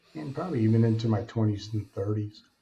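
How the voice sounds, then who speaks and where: A dark, mellow, somewhat breathy voice with an American accent. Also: man. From Alaska, US. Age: 60s. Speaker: author and speaker, former addict. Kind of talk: interview, personal testimony.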